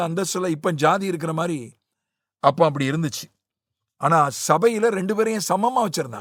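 A high-pitched man's voice with lively intonation on a very clean recording with a silent background. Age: 50s. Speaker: Bible teacher. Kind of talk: Bible study teaching.

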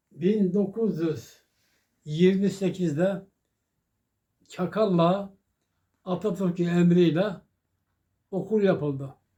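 Speaking at a very slow pace with long, frequent pauses, a man with a high pitch and a dark, mellow tone keeps his intonation fairly even. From Çakallık, Serik, Antalya, Turkey. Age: 80s+. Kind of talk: interview answer.

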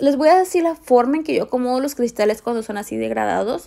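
A woman's high, animated voice at a moderate pace. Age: 20s. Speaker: nail technician. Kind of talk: tutorial.

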